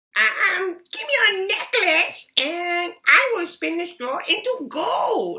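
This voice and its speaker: A put-on character voice speaks at a very slow pace. There are hardly any pauses. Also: woman, extremely high pitch for a woman. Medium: read story. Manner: sly, smug.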